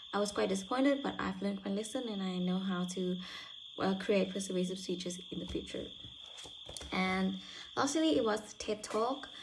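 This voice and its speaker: Heard with audible room echo, a woman talks at a medium pitch and a moderate pace with vocal fry. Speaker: university student. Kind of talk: spoken self-reflection. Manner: halting.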